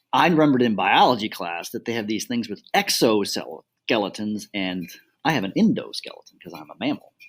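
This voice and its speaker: A man with an American accent, medium-pitched, at a fairly quick pace, with lively intonation and big swings in loudness. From Chicago, US Midwest. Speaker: physics teacher. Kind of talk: casual educational dialogue. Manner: animated.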